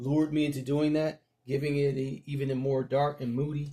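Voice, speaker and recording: A man with a somewhat breathy voice at a fairly high pitch speaks at a moderate pace in a very clean recording with a silent background. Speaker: comic book reviewer. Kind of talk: casual review. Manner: halting, many fillers.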